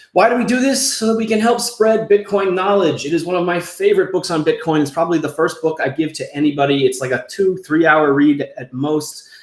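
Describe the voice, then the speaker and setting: Against noticeable background noise, a man talks fast with a high voice and lively intonation. He keeps a fairly quick pace with hardly any pauses. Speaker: show host. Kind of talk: casual livestream show intro with promotional pitch. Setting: livestream video show. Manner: animated.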